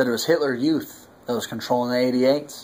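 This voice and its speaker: Fairly even intonation marks this man's moderately paced speech. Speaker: interviewer. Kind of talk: interview questions. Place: home room.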